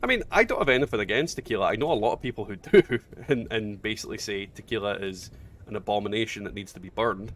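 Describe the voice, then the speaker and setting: A man with a Scottish accent talks at a very fast clip in a fairly low voice, his loudness swinging widely. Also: ordinary pitch variation. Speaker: gaming streamer. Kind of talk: casual chat. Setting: livestream.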